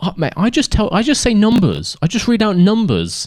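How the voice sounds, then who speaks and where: Recorded very cleanly against a silent background, a man speaks with a British accent. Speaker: F1 commentary YouTuber. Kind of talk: casual solo podcast monologue. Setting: sitting in a camping chair on a staircase. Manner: casual with frequent fillers.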